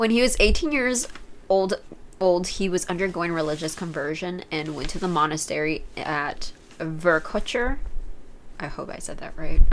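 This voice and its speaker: Speaking at a moderate pace with an American accent, a woman with an ordinary speaking voice and a fairly low pitch uses lively intonation and big swings in loudness. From United States. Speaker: podcast co-host. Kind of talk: casual chat. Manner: laughs often.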